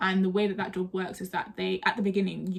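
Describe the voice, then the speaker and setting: A woman with a South London accent speaks at a very fast pace and medium pitch. Her intonation is monotone and flat over noticeable background noise. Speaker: trainee solicitor and YouTuber. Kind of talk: casual storytelling vlog. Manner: conversational, chatty.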